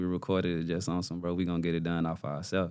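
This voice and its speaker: A man talks in a very deep, low voice. The recording is very clean, with a silent background. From Mississippi (born Louisiana). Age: 30s. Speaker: artist manager and life coach. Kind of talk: podcast interview. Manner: casual, relaxed.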